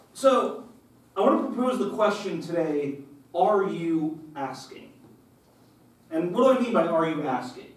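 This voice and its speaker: A man speaks at a fairly slow pace in a high voice, his pitch swinging very widely, with long, frequent pauses, audible room echo and noticeable background noise. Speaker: lay preacher. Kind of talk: sermon. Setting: church. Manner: casual, conversational; loud.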